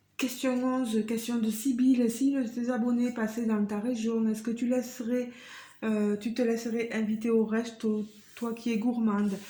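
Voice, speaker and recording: A woman's fairly high, dark, mellow voice, monotone and flat, at a fairly slow pace with audible room echo. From southwest France, Tarn (Carmaux). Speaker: craft YouTuber. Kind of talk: casual Q&A vlog. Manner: hesitant, many fillers.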